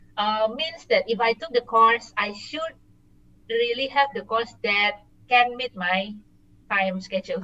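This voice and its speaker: A woman with a Singaporean accent speaks at a fairly slow pace and a fairly high pitch. Her tone is bright and sharp, with lively intonation. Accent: sounds Singaporean. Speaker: working professional studying abroad. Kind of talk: casual interview. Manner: hesitant, many fillers.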